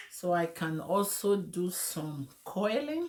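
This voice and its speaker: The woman's voice has a dark, mellow tone. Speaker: wig and hair stylist, beauty channel host. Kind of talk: tutorial. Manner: casual, chatty.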